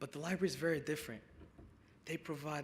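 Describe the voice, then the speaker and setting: A man speaks with a fairly high pitch. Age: young. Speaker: featured speaker, young immigrant. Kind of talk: speech to luncheon audience. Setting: stage with audience.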